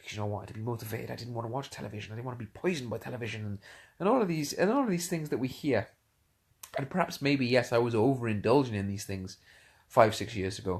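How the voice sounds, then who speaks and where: Somewhat breathy and at a medium pitch, a man talks with lively intonation and big swings in loudness. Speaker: motivational speaker and coach. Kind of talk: casual live-stream talk. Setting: lying in bed, Facebook live stream. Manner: hesitant, many fillers and repetitions; whispering at first.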